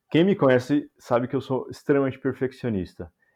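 A man speaks at medium pitch. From São Paulo, Brazil. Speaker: software engineer. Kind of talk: casual chat.

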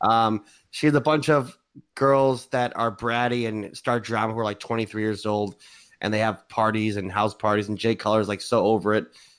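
A man with an unremarkable speaking voice talks at a moderate pace, his pitch fairly low. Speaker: podcast host. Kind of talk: casual banter podcast. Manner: joking, banter.

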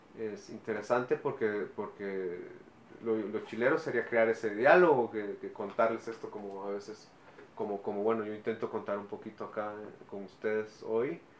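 A man speaks at a medium pitch and moderate pace, with ordinary pitch variation. Noticeable background noise sits behind him. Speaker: actor and musician. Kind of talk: interview.

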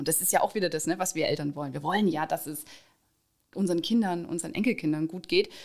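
A woman at a very fast pace, fairly low in pitch, with ordinary pitch variation. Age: 30s. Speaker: trade union organizer. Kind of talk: interview.

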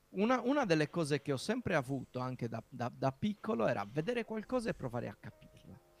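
In a Sardinian accent, a man speaks at a very fast pace with hardly any pauses, his fairly high voice making very wide pitch swings, in a dry, close sound with no echo. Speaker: software developer and podcast host. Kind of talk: casual interview.

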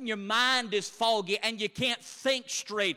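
A man's raised, projected voice at an extremely high pitch, bright and sharp in tone, with fairly even intonation and a fairly slow pace. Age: 30s. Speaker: preacher. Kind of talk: sermon.

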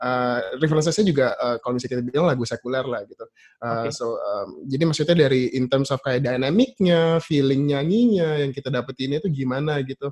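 A man speaks very fast with hardly any pauses, his fairly high voice somewhat breathy and his pitch varying in an ordinary way, in a dry, close sound with no echo. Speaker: worship leader. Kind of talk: casual panel discussion. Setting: video call. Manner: calm.

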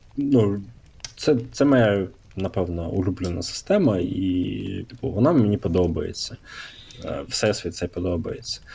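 Noticeable background noise sits behind a man speaking. His pace is fairly slow and his intonation lively. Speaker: tabletop RPG podcaster. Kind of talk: casual chat.

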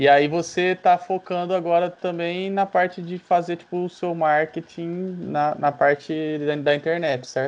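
Against a quiet background, the speech runs at a fairly slow pace with hardly any pauses. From Ribeirão Preto, Brazil. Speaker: podcast host. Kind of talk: casual chat.

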